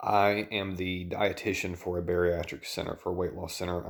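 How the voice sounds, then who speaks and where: A man with a Southern US accent speaks quietly at a fairly quick pace, his very deep, low voice flat and monotone. The recording is very clean, with a silent background. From US South. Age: 30s. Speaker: dietitian and vlogger. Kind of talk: personal vlog. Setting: at home at night.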